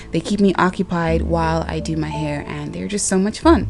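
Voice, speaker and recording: A woman speaks with music in the background. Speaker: hair tutorial vlogger. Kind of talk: casual hair tutorial talk to camera.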